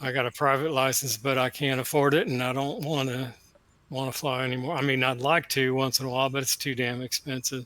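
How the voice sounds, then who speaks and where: A man's medium-pitched voice in a Texan accent, fairly quick and monotone with flat intonation. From Texas. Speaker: retired procurement contractor. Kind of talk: casual chat.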